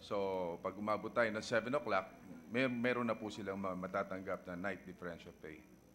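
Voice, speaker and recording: A man with a Filipino accent talks at a fairly quick pace in a fairly low pitch, with light background noise. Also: ordinary pitch variation. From Philippines. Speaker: senator. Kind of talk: legislative debate. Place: hall. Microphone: podium.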